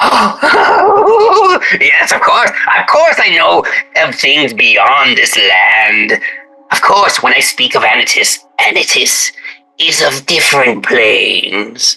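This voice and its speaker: A man uses a put-on character voice at a very slow pace. Faint music plays in the background. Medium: actual play. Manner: theatrical, ingratiating.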